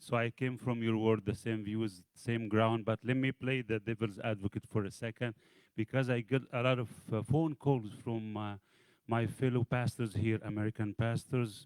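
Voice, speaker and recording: At a moderate pace and medium pitch, a man with an Arabic accent speaks in a monotone, flat intonation, recorded with a dry, close sound and no echo. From Egypt. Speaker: pastor. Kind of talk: audience question. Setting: church event with audience.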